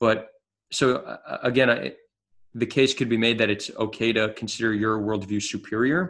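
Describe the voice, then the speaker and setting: A man with a New Jersey accent talks at a moderate pace. His pitch is medium, with ordinary variation. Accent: American (New Jersey). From US, New Jersey. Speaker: social activist. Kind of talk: casual chat. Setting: remote call.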